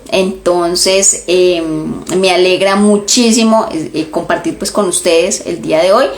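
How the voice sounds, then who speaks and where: A woman's medium-pitched voice at a fairly slow pace, with noticeable background noise. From Colombia. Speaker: education consultant and trainer. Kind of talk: instagram live talk. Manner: many filler hesitations.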